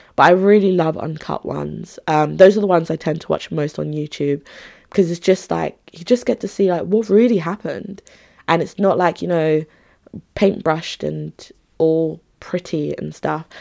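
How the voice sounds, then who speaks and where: In a very clean recording with a silent background, a woman talks at a moderate pace, her voice fairly low in pitch with a dark, mellow tone. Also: ordinary pitch variation, big swings in loudness. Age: 20s. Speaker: podcast host.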